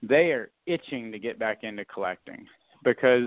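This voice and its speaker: A man speaks at a moderate pace and medium pitch. He has a normal speaking voice with ordinary pitch variation. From US South, South Florida. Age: 30s. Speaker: podcast host, card collector. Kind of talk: casual interview chat. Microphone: connection cut out.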